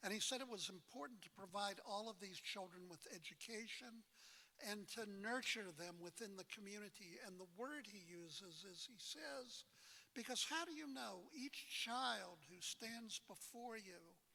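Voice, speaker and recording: The voice is raised and projected, with a bright, sharp tone. It moves at a moderate pace with lively intonation. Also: man, high pitch for a man. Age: 70s. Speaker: rabbi, moderator. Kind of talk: public talk.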